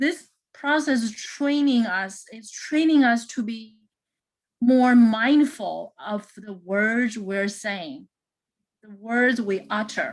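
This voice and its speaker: A woman with a non-native accent speaks very slowly at a fairly high pitch. Her loudness swings widely while her pitch varies in an ordinary way. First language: not English. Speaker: math instructor. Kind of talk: lecture. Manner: halting, many fillers and repeats.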